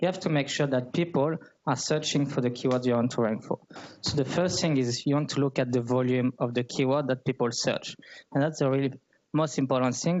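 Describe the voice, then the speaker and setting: Speaking with a French accent, a man keeps a fairly quick pace and fairly even intonation. His loudness stays very even. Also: medium pitch for a man. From France (Paris). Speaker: growth marketer. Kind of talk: talk at a meetup. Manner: hesitant, with frequent fillers.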